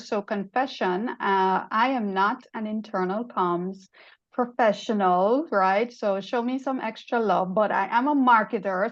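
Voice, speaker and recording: A woman speaks with a Jamaican accent. Her pitch is fairly high, with ordinary variation. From Jamaica (Kingston). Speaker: marketing executive and podcaster. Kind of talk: panel discussion. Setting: video call. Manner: animated.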